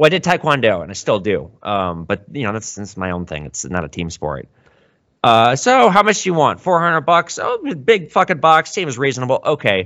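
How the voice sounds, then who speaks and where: With an American accent and vocal fry, a man speaks at medium pitch and a moderate pace. His pitch swings very widely, and his loudness rises and falls a lot. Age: 30s. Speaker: gold and silver dealer. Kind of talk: casual interview chat. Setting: video call.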